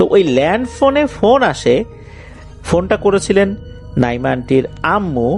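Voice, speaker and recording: Over music in the background, a man with a high pitch speaks with very wide pitch swings. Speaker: radio show host. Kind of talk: horror story narration; radio show. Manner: conversational storytelling.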